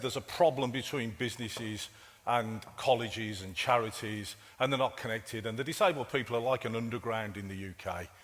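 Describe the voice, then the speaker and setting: In a Brummie accent, a man speaks at a moderate pace and medium pitch with ordinary pitch variation. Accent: Brummie (Birmingham). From England, Birmingham. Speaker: IT director and keynote speaker. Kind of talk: conference keynote. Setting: conference stage with audience. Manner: casual, halting with fillers and repetitions.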